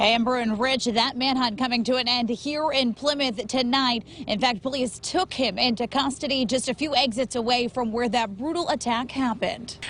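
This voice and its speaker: Over noticeable background noise, a woman with an American accent speaks in a high pitch, her intonation fairly even and her loudness very even. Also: moderate pace. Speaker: TV news reporter and anchor. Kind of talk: live field news report.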